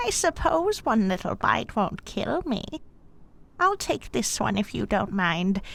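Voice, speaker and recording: A woman puts on a character voice over clear background noise. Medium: audio drama. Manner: honeyed, ingratiating.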